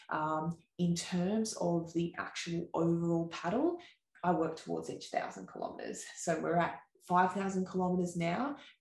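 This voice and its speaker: In an Australian accent, a woman with a fairly low pitch and a somewhat breathy voice speaks at a moderate pace with fairly even intonation. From Australia, Sawtell, New South Wales. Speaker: ultra-distance paddler, former professional Ironman athlete and dietitian. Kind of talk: casual interview chat. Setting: in-person studio recording.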